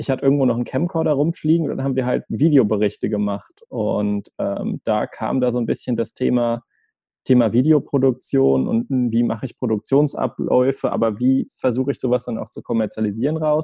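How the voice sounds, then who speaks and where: A man's medium-pitched, normal speaking voice at a fairly quick pace with ordinary pitch variation. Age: 20s. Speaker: video agency director. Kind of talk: interview.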